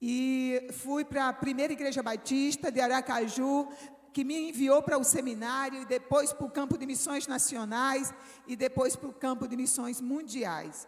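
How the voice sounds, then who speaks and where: Against noticeable background noise, a woman with a northeastern Brazilian accent speaks fairly slowly at a high pitch with fairly even intonation. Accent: Northeastern Brazilian, kept. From Brazilian Northeast. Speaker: missionary preacher. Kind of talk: sermon.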